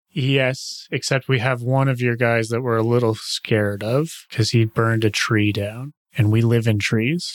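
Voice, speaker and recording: In a put-on character voice, a man cackles at a moderate pace and a medium pitch. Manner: giggly, cackling; playful, cheeky, blunt.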